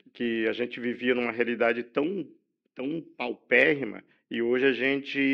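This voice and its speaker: A man speaks at a medium pitch with vocal fry and fairly even intonation. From Brazil, São Paulo state (Campinas/Hortolândia area). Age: 60s. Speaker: journalist. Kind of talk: podcast interview. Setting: studio.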